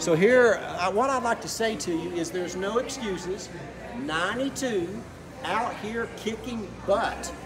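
A man's fairly slow, lively-intoned speech comes through noticeable background noise. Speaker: fitness interviewer. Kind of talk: interview questions to camera. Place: gym. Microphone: phone near.

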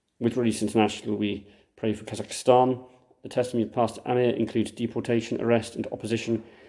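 A man's medium-pitched voice, dark and mellow in tone, monotone and flat, at a very fast pace. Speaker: Anglican priest. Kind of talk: earnest intercessory prayer for war victims, read from a liturgy. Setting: church, livestreamed. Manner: measured, solemn and heartfelt; informal asides with hesitations.

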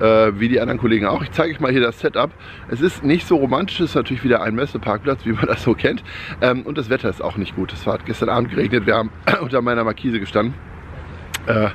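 Over light background noise, a man speaks at a very fast pace, with a dry sound and no echo. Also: ordinary pitch variation. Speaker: camper van vlogger. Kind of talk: casual vlog chat. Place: street. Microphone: phone near.

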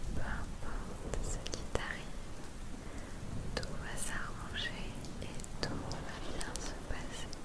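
A woman's very slow speech, broken by long, frequent pauses. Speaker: ASMR creator. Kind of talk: ASMR positive affirmations. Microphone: studio mic.

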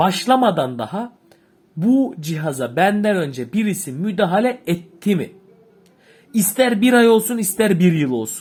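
Speaking at a fairly slow pace, a man uses lively intonation. His voice is high-pitched. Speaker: boiler repair instructor. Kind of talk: tutorial. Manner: halting.

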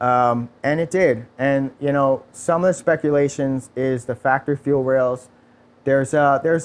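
At a moderate pace, a man with a New York accent talks at a fairly high pitch with fairly even intonation against a quiet background. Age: 30s. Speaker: automotive performance technician. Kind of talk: casual interview. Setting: studio.

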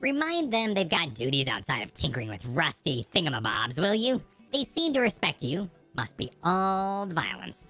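Faint music plays behind a female-sounding put-on character voice pitched in the medium range. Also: moderate pace. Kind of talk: comic game-dialogue read-along. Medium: game stream. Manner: bossy, impatient, cocky.

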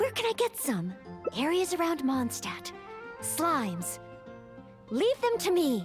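Faint music plays in the background while a woman in a put-on character voice speaks at a high pitch and slow pace, her pitch swinging very widely.

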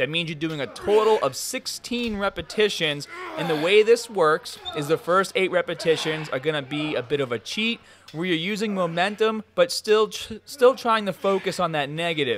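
A man talks at a moderate pace while light background noise sits behind him. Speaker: fitness vlogger. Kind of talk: tutorial. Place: gym.

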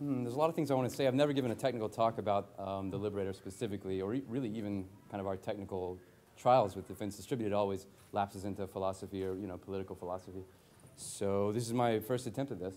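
Very fast speech from a man, fairly low in pitch, its variation ordinary. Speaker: speaker. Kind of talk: conference talk. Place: hall. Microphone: lapel.

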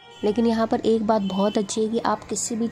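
Speaking at a moderate pace, a woman keeps a monotone, flat intonation over noticeable background noise. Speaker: family vlogger. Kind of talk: casual vlog narration. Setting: outdoors at market.

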